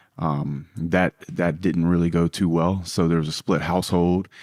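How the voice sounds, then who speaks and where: A man speaks with a Louisiana accent, the sound dry and close with no echo. The recording is very clean, with a silent background. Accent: Southern US (Louisiana). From US South, South Louisiana. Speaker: businessman. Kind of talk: podcast interview. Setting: in London.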